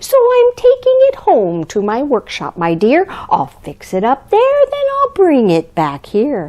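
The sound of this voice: A woman uses a put-on character voice, high and slightly mellow in tone. She speaks at a fairly slow pace with very wide pitch swings.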